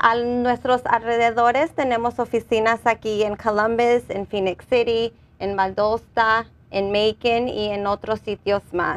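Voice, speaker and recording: A woman speaks fairly slowly at a fairly high pitch, her intonation monotone and flat. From Los Angeles, California. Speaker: nonprofit employment worker; guest. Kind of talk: community TV interview. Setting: TV studio. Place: studio. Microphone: lapel.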